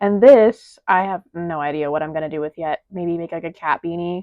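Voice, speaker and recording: This woman's pitch is fairly low. She talks at a moderate pace. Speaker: crochet artist vlogger. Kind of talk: casual vlog. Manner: loud; animated. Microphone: mic sounds kind of bad.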